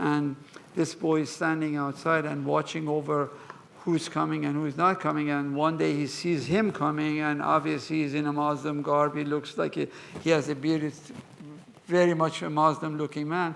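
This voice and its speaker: A man speaks in a monotone, flat way. Noticeable background noise runs underneath. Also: fairly high pitch for a man, moderate pace. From Iran, Mashhad. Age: 80s+. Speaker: museum curator. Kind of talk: lecture with Q&A.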